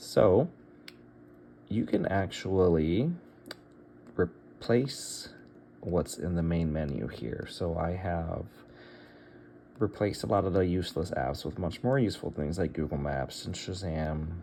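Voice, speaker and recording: Slow-ish and full of long, frequent pauses, the voice has a dark, mellow tone with vocal fry and lively intonation. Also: man, very deep, low pitch for a man. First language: Bulgarian. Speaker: tech tutorial youtuber. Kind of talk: tutorial. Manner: casual, thinking aloud with fillers.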